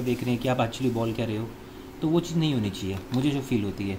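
A man's medium-pitched voice at a fairly quick pace, with clear background noise.

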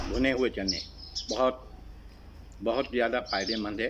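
A man at a very slow pace, with noticeable background noise. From Pakistan. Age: 50s. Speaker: vlogger. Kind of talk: casual vlog monologue. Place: garden. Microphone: phone near.

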